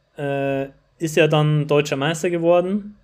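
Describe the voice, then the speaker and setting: With an unremarkable speaking voice, a man speaks at a fairly slow pace with fairly even intonation. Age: 20s. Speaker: running shop marketer and former competitive runner. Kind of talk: casual interview. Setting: remote call.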